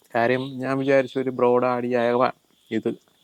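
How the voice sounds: At a medium pitch and moderate pace, a man speaks with a clear, smooth tone and monotone, flat intonation.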